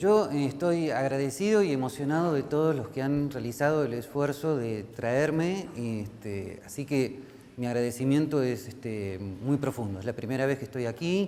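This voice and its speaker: With an Argentine accent, a man speaks at medium pitch and a moderate pace with lively intonation and hardly any pauses, amid audible room echo and noticeable background noise. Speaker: professor. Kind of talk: lecture. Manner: many fillers (este, eh).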